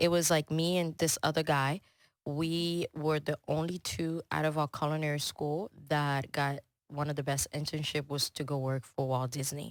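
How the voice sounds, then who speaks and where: A woman speaks in a French accent at a very deep, low pitch. Her intonation is monotone and flat, with a dry, close sound and no echo. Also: moderate pace, very clean recording, silent background. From Congo, then Houston from age 12. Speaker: chef and business owner. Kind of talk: podcast interview. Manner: casual, many fillers.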